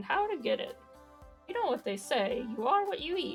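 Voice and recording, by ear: A woman puts on a character voice with extremely high pitch and very wide pitch swings, at a moderate pace. Faint music plays in the background.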